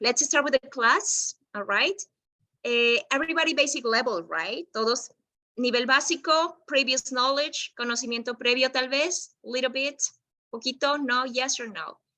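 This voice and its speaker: Projecting her voice, a woman speaks at a high pitch with a bright, sharp tone and ordinary pitch variation. Her pace is moderate, and the sound is dry and close with no echo. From Peru, Lima. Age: 30s. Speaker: English teacher. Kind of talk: online class lesson, bilingual. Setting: video call.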